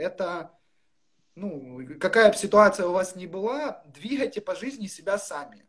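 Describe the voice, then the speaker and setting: Lively, high-pitched male speech at a moderate pace. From Ukraine, Luhansk region. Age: 20s. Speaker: interviewee sharing recovery story. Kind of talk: personal testimony.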